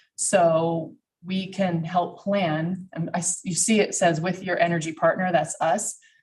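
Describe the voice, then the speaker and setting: In an American accent, a woman speaks fairly slowly in a fairly low, somewhat breathy voice with monotone, flat intonation. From Texas. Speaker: energy company presenter. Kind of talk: presentation to a county committee. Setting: public meeting room at a podium, streamed live.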